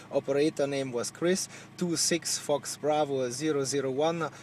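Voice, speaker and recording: Against noticeable background noise, a man speaks at a moderate pace. His pitch is fairly high and his intonation fairly even. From Germany. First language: German. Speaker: CB radio operator. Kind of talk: radio contact chat. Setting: radio transmission from a car. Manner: halting.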